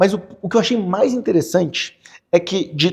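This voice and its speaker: A man speaks with a Gaúcho Brazilian accent. His tone is dark and mellow. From Porto Alegre, southern Brazil. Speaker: real estate financing specialist. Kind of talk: podcast interview answer.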